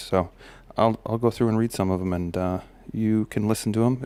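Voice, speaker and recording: At a moderate pace, a man speaks with a fairly low pitch, a dark, mellow tone and fairly even intonation, captured in a very clean recording with a silent background. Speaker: self-help vlogger, father giving life advice. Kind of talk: casual monologue reading from a list. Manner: halting, many fillers and repeats.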